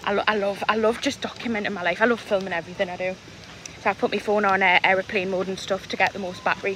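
Talking at a very fast pace, a woman keeps a monotone, flat intonation, her dry voice carrying no echo over light background noise. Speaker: vlogger. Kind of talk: casual vlog chat. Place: street. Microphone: phone near.

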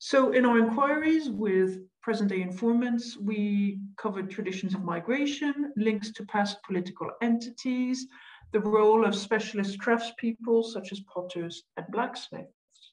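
A woman's normal speaking voice, fairly high in pitch with ordinary pitch variation, at a moderate pace. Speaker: researcher. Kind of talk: academic presentation. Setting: video call.

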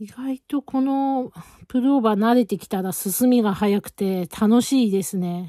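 With a dark, mellow tone and fairly high pitch, a woman speaks at a fairly slow pace with ordinary pitch variation, in a dry recording with no echo and a quiet background. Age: 40s. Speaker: knitting vlogger. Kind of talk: casual chat. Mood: relaxed, chatty. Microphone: phone near.

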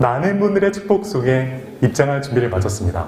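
Through noticeable background noise, a man speaks at a fairly slow pace, his pitch swinging very widely. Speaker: wedding MC. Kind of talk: live wedding ceremony hosting. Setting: wedding hall PA system.

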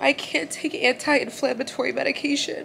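Light background noise sits behind a woman talking at a moderate pace. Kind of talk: emotional vlog confession. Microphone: phone near.

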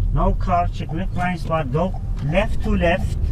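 A man's voice under loud background noise. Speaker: driving instructor. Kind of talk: tutorial. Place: car.

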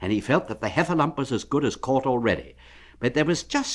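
Text is being read out loud. The voice is natural.

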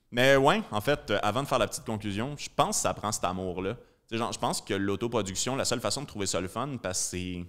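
A man with a Quebec accent talks at a fairly quick pace in a fairly low pitch against a quiet background. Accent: Québécois French. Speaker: comedian and podcast host; comedian, podcast host. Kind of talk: casual chat. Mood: relaxed, laughing at times. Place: studio. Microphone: studio mic.

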